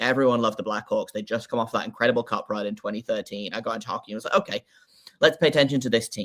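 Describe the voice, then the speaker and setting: A man's voice sits at a medium pitch with ordinary pitch variation. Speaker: hockey podcaster. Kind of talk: casual chat. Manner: halting, many fillers.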